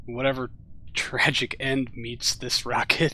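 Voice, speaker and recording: This man has an American accent and a medium pitch, with a bright, sharp tone. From US Midwest. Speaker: gaming live streamer. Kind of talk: live gameplay commentary. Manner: casual, rambling, filler-heavy.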